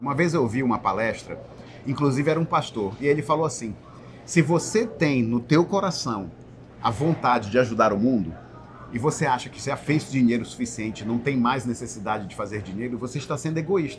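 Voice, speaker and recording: A man with a normal speaking voice talks at a fairly quick clip with lively intonation. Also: medium pitch for a man. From Belém do Pará, Brazil. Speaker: podcast co-host, entrepreneur. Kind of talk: casual chat.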